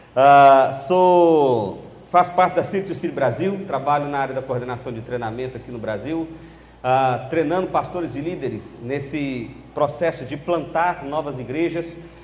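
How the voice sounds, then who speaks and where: Amid noticeable background noise and audible room echo, a man with a fairly high pitch speaks at a moderate pace with ordinary pitch variation. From central Brazil (Goiás, Brasília, Belo Horizonte). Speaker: pastor. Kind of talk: sermon. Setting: church conference.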